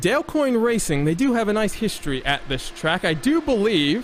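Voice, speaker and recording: Background noise is clearly audible. Over it, a man speaks fairly quickly. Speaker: sim racing broadcaster, commentator and host. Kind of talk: live broadcast commentary with sponsor tagline and banter.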